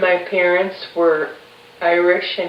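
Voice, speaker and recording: A woman speaks at a very slow pace. Noticeable background noise and audible room echo fill the recording. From Chicago, north side. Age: 50s. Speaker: interviewer's mother. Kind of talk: family oral history interview.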